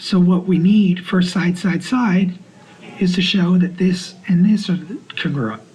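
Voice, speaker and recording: A soft-spoken man with a high pitch talks at a fairly slow pace and with fairly even intonation. Audible room echo and noticeable background noise surround him. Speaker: math teacher. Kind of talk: lecture. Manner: halting.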